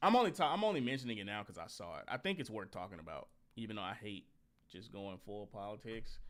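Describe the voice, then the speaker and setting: The speech races at a very fast pace with a slight Southern US accent. Intonation is lively, with big swings in loudness. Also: man, medium pitch for a man. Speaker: podcast host. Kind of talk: casual chat. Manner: animated.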